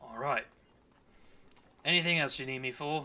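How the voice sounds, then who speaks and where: At a moderate pace, a man puts on a raspy character voice, fairly high in pitch. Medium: actual play. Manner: gruff, clipped.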